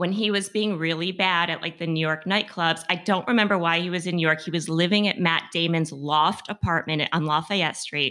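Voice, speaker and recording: In a normal speaking voice, a woman talks with an American accent. She goes at a fairly quick pace with hardly any pauses. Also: fairly low pitch for a woman, fairly even intonation. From Massachusetts, US. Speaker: writer and magazine columnist. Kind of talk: casual chat.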